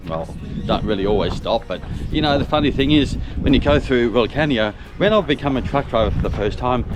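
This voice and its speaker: Over noticeable background noise, a man with an Australian accent talks at a fairly quick pace, medium in pitch and lively in intonation. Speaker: truck driver and vlogger. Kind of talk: casual travel vlog narration. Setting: outdoors. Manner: hesitant, many fillers.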